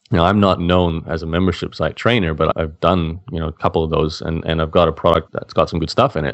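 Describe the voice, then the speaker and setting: The speaker talks very fast with an Australian accent and fairly even intonation. The background is quiet. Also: man. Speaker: blogger and online entrepreneur. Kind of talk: interview.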